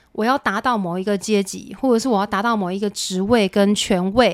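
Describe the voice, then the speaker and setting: A woman's ordinary speaking voice at medium pitch, with ordinary pitch variation, on a very clean recording with a silent background. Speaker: music director. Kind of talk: interview.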